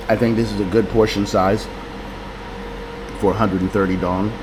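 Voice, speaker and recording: Over noticeable background noise and with audible room echo, a man with a fairly low voice speaks at a moderate pace. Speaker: vlogger. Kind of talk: casual vlog talk. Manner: not very loud. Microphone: camera mic held close to mouth, no microphone.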